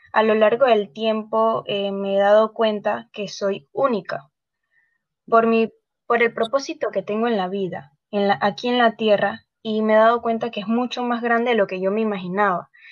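This woman has a plain, everyday voice, pitched fairly high. She speaks at a moderate pace with fairly even intonation. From Panama. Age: 20s. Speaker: model. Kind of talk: interview.

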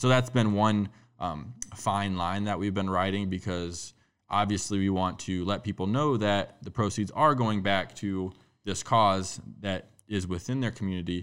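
A man's fairly low-pitched voice, a normal speaking voice, with fairly even intonation on a very clean recording against a silent background. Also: fairly slow pace. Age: 20s. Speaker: event organizer and nonprofit co-founder. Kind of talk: casual chat.

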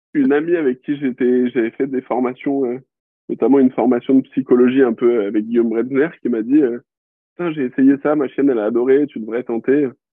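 Talking at a fairly quick pace, this man keeps a medium pitch and fairly even intonation. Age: 20s. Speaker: dog trainer. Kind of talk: casual interview. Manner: hesitant, many fillers.

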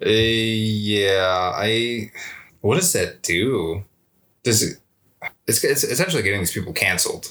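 With lively intonation and a fairly low pitch, a man speaks fairly slowly and leaves long, frequent pauses. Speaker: podcast co-host. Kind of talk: casual conversation.

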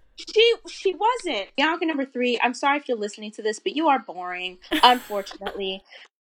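Over noticeable background noise, a high-pitched woman with an American accent talks at a fairly quick pace with hardly any pauses, very wide pitch swings and big swings in loudness. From Florida. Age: 20s. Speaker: student writer. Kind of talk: interview. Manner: animated.

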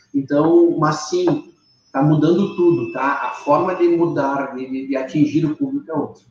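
With a normal speaking voice, a man talks at a fairly slow pace in a fairly high pitch, keeping his intonation fairly even. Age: 30s. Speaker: furniture business owner. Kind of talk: interview. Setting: live stream.

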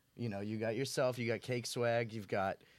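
On a very clean recording with a silent background, a man with an American accent talks in an ordinary speaking voice, fairly low in pitch and with fairly even intonation. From South Shore, Massachusetts. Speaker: podcast host. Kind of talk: casual podcast interview.

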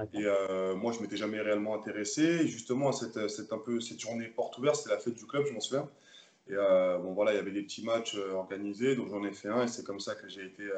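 The speech runs at a very fast pace, with big swings in loudness and ordinary pitch variation. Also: man, fairly low pitch for a man. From Paris suburbs, France (Seine-Saint-Denis). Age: 20s. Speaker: professional handball player. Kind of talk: interview. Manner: halting, frequent repetitions.

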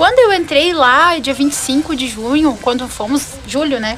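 A high-pitched woman's voice with lively intonation over noticeable background noise. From Rio Grande do Sul, Brazil (Venâncio Aires). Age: 20s. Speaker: lawyer and pageant candidate. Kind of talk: radio interview. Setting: radio studio.

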